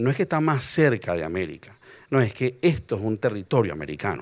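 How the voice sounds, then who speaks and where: A man's plain, everyday voice at medium pitch, a fairly quick pace, quiet background. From Venezuela. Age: 60s. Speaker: lexicographer; speaker. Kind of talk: panel discussion. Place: garden. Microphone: handheld.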